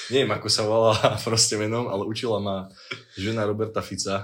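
Flat, monotone intonation in a man's fairly low-pitched voice. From Slovakia, Liptov region. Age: 20s. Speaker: university student. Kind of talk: casual chat. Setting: late-night recording in student dorm.

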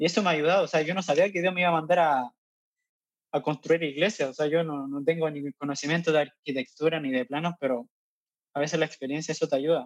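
Speaking very fast with a Chilean accent, a man uses a fairly high pitch and fairly even intonation in a dry, close sound with no echo. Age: 20s. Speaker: missionary. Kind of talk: interview.

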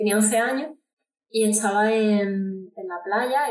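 A woman with a fairly high pitch speaks in a plain, everyday voice, her intonation fairly even. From Andalucía, Córdoba. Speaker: singer-songwriter. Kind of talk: interview.

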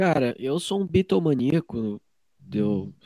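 In a very clean recording with a silent background and a dry, close sound with no echo, a man speaks at a medium pitch with a dark, mellow tone. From Joinville, Santa Catarina, southern Brazil. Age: 20s. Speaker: musician. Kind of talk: interview. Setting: at home in his bedroom.

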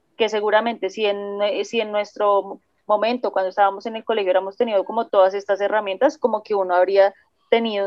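Her voice is an unremarkable speaking voice at a medium pitch. The woman talks at a moderate pace with fairly even intonation. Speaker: podcast co-host. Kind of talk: casual podcast discussion; reading aloud.

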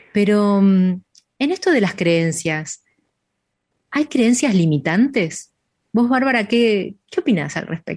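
Very slow and somewhat breathy, a woman's voice has very wide pitch swings and long, frequent pauses. The sound is dry and close, with no echo. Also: medium pitch for a woman. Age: 50s. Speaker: radio show host. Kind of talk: casual chat.

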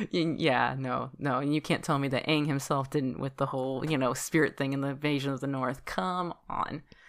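Delivering her words at a moderate pace with hardly any pauses, a woman with a very deep, low pitch keeps a fairly even intonation in a very clean recording with a silent background. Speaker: podcast host. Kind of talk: casual chat.

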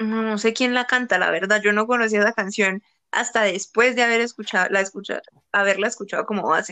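A woman speaks fairly quickly in a plain, everyday voice, fairly high in pitch with fairly even intonation, over a quiet background. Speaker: podcast host. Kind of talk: casual chat.

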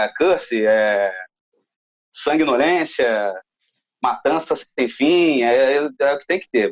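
Pausing long and often, a man speaks at a very slow pace and a fairly high pitch, with very wide pitch swings. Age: 30s. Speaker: gaming podcast panelist. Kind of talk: casual chat.

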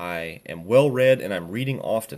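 A man's lively intonation on a very clean recording with a silent background. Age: 20s. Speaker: tattoo artist and podcast host. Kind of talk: solo monologue. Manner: casual, rambling riffing.

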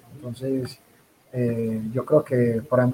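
A man speaks while noticeable background noise runs underneath. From Colombia. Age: 30s. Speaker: rugby player turned coach. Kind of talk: interview.

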